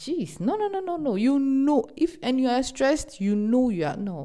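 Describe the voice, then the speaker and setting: A woman with a high pitch and a dark, mellow tone talks at a moderate pace, her pitch swinging very widely. The recording is very clean, with a silent background. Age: 30s. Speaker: podcast host. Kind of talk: casual advice monologue. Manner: animated.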